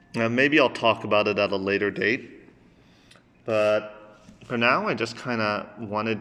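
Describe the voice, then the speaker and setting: Fairly even intonation shapes a man's bright, sharp tone. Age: adult. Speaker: vlogger with selective mutism. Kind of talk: personal vlog monologue. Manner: halting, many fillers; sometimes slurred speech.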